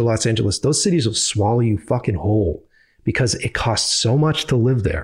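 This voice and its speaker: In a very clean recording with a silent background, a man talks fairly quickly with a Boston accent, a somewhat breathy voice and ordinary pitch variation. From Boston, US. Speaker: filmmaker. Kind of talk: casual chat. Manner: animated.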